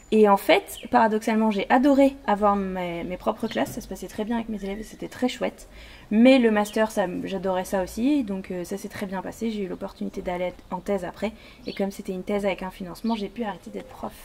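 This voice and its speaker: Fairly quick, fairly even in intonation, a medium-pitched woman's delivery. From southwest France, Béarn (Pau). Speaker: history YouTuber, former teacher. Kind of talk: casual chat.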